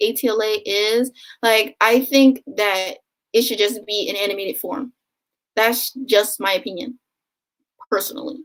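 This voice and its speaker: Delivered at a moderate pace, the speech has lively intonation and an American accent. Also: woman. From US, Philadelphia. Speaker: booktuber. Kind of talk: live stream Q&A. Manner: casual, filler-heavy.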